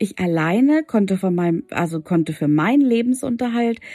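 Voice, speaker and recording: Against a silent background in a very clean recording, a woman's dark, mellow voice moves through very wide pitch swings. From Hannover, northern Germany. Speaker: podcast host, women's coach. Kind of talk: personal monologue, storytelling. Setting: home, at night. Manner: hesitant, many filler words.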